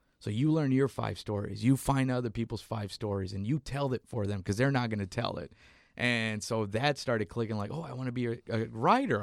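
A man with an American accent speaks in a normal speaking voice at medium pitch, with ordinary pitch variation and a fairly quick pace. The recording is very clean with a silent background, and the sound is dry and close with no echo. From South Texas, McAllen border town. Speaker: comedian and writer. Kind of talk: casual chat.

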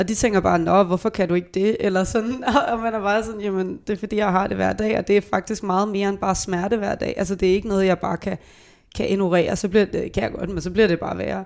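A woman's very fast speech with vocal fry and fairly even intonation. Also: medium pitch for a woman. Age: 20s. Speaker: veterinary student. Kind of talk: casual chat. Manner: halting.

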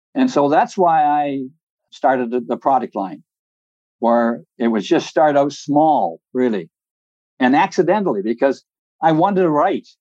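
The tone is dark and mellow, and the sound is dry and close with no echo. The speech comes at a fairly slow pace with lively intonation and long, frequent pauses. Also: man, fairly high pitch for a man. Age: 80s. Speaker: time management author and speaker. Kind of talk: interview conversation. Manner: chatty, anecdotal.

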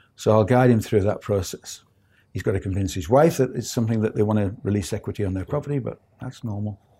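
On a very clean recording with a silent background, a man talks at a very fast pace with a fairly low pitch, ordinary pitch variation, a dark, mellow tone and a somewhat breathy quality. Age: 60s. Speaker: property investor. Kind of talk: interview. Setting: studio.

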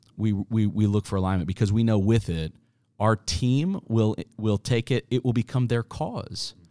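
A man with an American accent speaks at a moderate pace with ordinary pitch variation, in a plain, everyday voice. The recording is very clean, with a silent background and a dry, close sound with no echo. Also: fairly low pitch for a man. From Kansas (Wichita). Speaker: marketing agency founder. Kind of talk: interview conversation.

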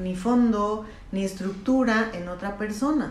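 Delivery is very slow, with an audible echo from the room. Noticeable noise sits in the background. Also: woman. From northern Mexico, Chihuahua. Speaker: psychologist. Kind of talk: interview on a faith podcast. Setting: therapist's office.

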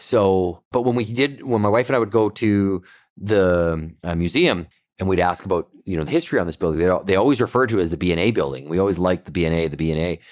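A man with a Western Canadian accent, very deep and low in pitch with ordinary variation, at a very fast pace. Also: very clean recording, silent background. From Canada, Kelowna, British Columbia. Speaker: brewery owner. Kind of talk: casual interview.

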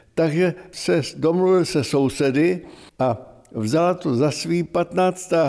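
A man speaks very slowly in a high voice with a dark, mellow tone. His pitch varies in an ordinary way and his loudness stays very even. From Czech Republic, Chrudim. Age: 90s. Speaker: retired civil engineer and local historian. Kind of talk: interview. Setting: archive room.

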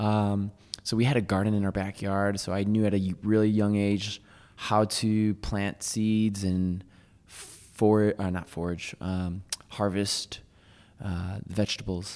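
At a fairly slow pace, a man talks in a monotone, flat intonation. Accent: American. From US Northeast, Waterbury, Connecticut. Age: 20s. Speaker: vegan chef. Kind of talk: casual chat.

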